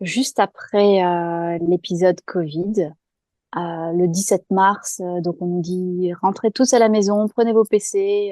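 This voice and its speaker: Against a quiet background, a woman's medium-pitched, dark, mellow voice comes at a very slow pace with fairly even intonation and a dry, close sound with no echo. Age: 40s. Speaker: guest sharing personal experience. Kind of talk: testimony. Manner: hesitant, many fillers.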